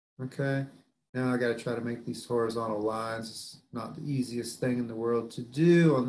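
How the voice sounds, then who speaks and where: A man's somewhat breathy voice with a Southern US accent. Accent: southern drawl. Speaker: biology professor. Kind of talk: lecture. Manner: casual, conversational.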